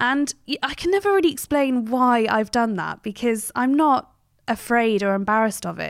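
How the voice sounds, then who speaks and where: The speaker has a southern English accent. The intonation rises and falls in a lively way. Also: woman, high pitch for a woman, moderate pace, very clean recording, silent background. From England, Cheltenham, Gloucestershire. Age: 30s. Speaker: journalist. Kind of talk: interview.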